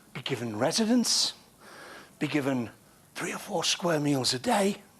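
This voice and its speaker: A man's voice at a fairly high pitch, with very wide pitch swings and a moderate pace, comes through noticeable background noise. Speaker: TV history presenter. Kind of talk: on-location presenting. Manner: animated.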